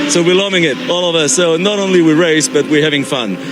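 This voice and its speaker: A man with a French accent at a fairly quick pace, noticeable background noise behind him. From France. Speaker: amateur racing driver. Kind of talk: interview. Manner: halting, many fillers.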